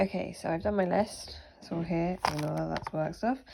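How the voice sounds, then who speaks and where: Here a woman speaks with an English accent. Her pace is moderate. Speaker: vlogger. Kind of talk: casual vlog narration. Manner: stuttering at times.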